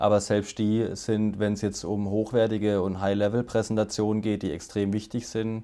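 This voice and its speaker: At a moderate pace, a man talks in a monotone, flat way, his tone dark and mellow and his pitch fairly low. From Baden, southwest Germany. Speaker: agency CEO. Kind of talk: interview.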